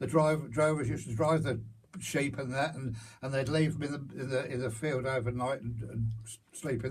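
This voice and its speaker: A man with a Hertfordshire accent speaks at a medium pitch and moderate pace, somewhat breathy, with fairly even intonation and audible room echo. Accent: rural Hertfordshire English. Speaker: local elder recalling farm life. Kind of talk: oral history interview. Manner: halting.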